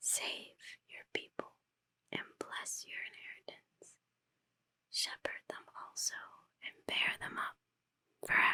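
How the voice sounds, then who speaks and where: A woman whispers in a calm tone at a very slow pace. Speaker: ASMR creator, Bible reader. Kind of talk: whispered Bible reading. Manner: whispered, soft, calm.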